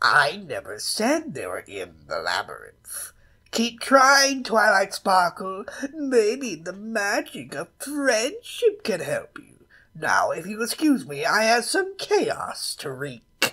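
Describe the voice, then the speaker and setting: Someone does a put-on character voice at a fairly high pitch and a fairly slow pace. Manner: mocking, playful.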